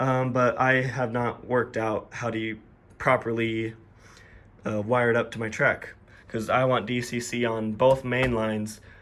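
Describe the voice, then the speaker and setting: At a moderate pace, a man speaks with a medium pitch and a monotone, flat intonation. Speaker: model railroad hobbyist YouTuber. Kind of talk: casual layout tour.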